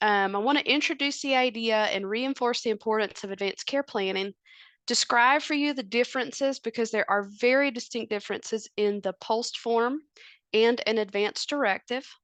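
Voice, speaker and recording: A woman's fairly high voice with a Southern US accent, at a moderate pace with ordinary pitch variation, in a dry, close sound with no echo and a quiet background. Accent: Southern US twang. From US South, North Carolina. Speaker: family physician. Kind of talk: presentation.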